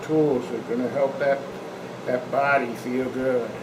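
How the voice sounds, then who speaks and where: The speech moves at a moderate pace. Audible room echo and noticeable background noise fill the recording. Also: man. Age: 60s. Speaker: strength coach. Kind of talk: tutorial. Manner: casual.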